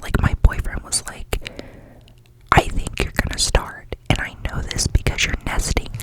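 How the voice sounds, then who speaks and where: Whispering at a moderate pace, a woman can be heard over noticeable background noise. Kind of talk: ASMR whisper ramble; casual talk to camera. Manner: whispered.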